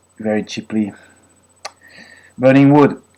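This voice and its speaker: Noticeable background noise sits behind a man speaking with a French accent. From France, Brittany. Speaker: vlogger, former physics researcher. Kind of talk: political rant monologue. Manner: halting, many fillers.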